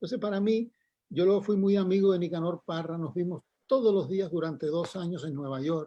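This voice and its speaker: A man talks fairly quickly in a high voice, his pitch varying in an ordinary way. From Cuba. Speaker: poet. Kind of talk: radio interview.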